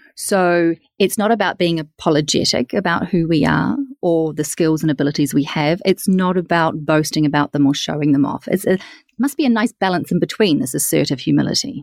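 Heard with a New Zealand accent, a woman speaks at a fairly quick pace with fairly low pitch and lively intonation. The sound is dry and close with no echo, and her loudness stays very even. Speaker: podcast host. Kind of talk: interview.

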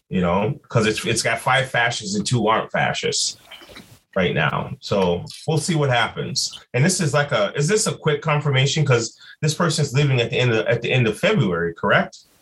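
Speaking fairly quickly in an American accent, a man with a medium-pitched voice and vocal fry makes very wide pitch swings. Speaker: podcast co-host. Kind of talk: casual chat.

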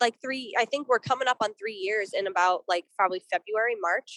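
With an American accent, a woman speaks in a fairly high, bright and sharp voice with ordinary pitch variation, recorded dry and close with no echo. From Boston, US. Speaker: punk band musician. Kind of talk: casual interview.

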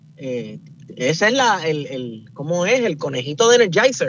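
Lively intonation marks this man's speech, heard over noticeable background noise. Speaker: podcaster, political commentator. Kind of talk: radio panel discussion. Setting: in a car.

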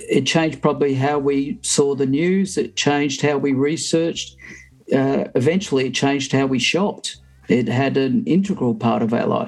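Speaking in an Australian accent, a man uses a fairly high pitch and lively intonation. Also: moderate pace. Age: 50s. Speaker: podcast panelist. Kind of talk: casual chat.

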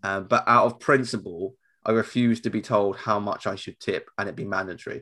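A man with an English accent speaks at a fairly quick pace in a bright, sharp tone, with fairly even intonation. His loudness swings widely on a very clean recording with a silent background. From England. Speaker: podcast host. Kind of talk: casual chat. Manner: fast.

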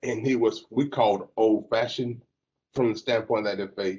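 Moderate pace from a man in a Southern US accent. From US South, Alabama. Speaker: lawyer. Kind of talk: panel discussion.

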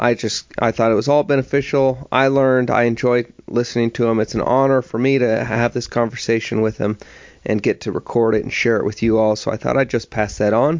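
In a normal speaking voice, a man talks at a fairly quick pace and medium pitch with fairly even intonation. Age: 30s. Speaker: podcast host. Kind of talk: interview conversation.

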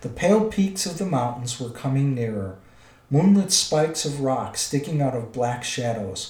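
Lively intonation in a natural reading voice

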